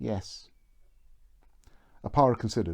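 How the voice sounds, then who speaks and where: Fairly low-pitched with vocal fry, this man's voice has lively intonation. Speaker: author. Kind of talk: reading aloud. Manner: mumbling.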